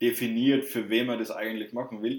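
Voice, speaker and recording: The voice belongs to a man. His pitch sits in the medium range. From southern Germany, Würzburg area. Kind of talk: casual chat.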